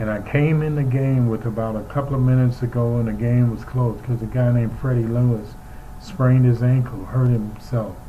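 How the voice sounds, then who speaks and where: There's audible room echo as a man speaks in an American accent. His pitch is medium, his pace moderate, and his intonation fairly even. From New York City (Harlem). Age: 70s. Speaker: former pro basketball player and sportscaster. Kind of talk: interview reminiscence.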